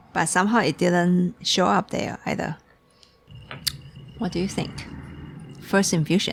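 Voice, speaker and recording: A woman speaks at a fairly slow pace with fairly even intonation and long, frequent pauses. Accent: Chinese. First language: Mandarin Chinese. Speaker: tea shop owner. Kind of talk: casual chat. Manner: halting.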